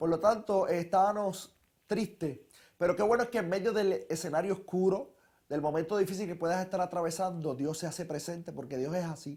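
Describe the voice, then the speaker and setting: A man's high voice in a Puerto Rican accent, at a fairly quick pace with ordinary pitch variation. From Puerto Rico. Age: 20s. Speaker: testimony speaker, young preacher. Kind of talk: testimony.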